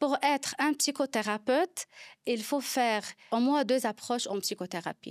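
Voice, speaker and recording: Heard on a very clean recording with a silent background and a dry, close sound with no echo, a woman with a Lebanese accent speaks at a fairly slow pace with high pitch and lively intonation. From Lebanon. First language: Arabic (speaking French). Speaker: psychologist. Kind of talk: interview. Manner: halting.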